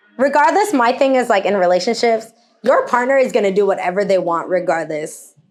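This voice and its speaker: With music in the background, the voice has an animated tone and very wide pitch swings. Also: woman. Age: 30s. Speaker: DJ. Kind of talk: casual chat.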